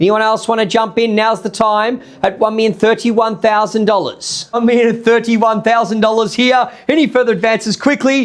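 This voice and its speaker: A man with an Australian accent speaks at a moderate pace in a high voice. Noticeable background noise runs behind him. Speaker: auctioneer. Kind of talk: live auction calling. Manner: loud.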